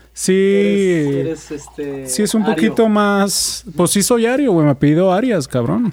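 Over noticeable background noise, a man with a high pitch speaks at a fairly slow pace, his pitch swinging very widely. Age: 30s. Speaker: podcast co-host. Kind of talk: casual chat.

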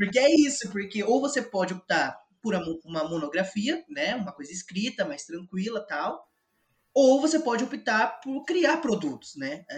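At a moderate pace, a man talks with a high pitch that swings very widely. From Brazil, São Paulo state interior (Botucatu). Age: 20s. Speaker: university student. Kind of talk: casual chat.

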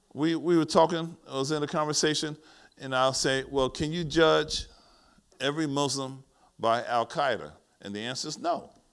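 A man with an American accent and fairly high pitch, animated in tone at a moderate pace, on a very clean recording with a silent background. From US Northeast, East Orange, New Jersey. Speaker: pastor. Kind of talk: sermon. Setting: church.

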